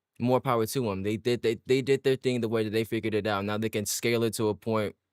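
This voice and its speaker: The sound of the man's voice is dry and close, without echo. His recording is very clean against a silent background. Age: 20s. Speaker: gaming streamer. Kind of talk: casual chat. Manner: fast; halting, repeats words.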